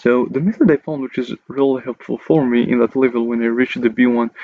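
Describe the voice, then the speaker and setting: Speaking at a very fast pace, a man with a non-native accent keeps a medium pitch. His intonation is fairly even. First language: not English. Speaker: English learning YouTuber. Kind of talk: casual talk to camera.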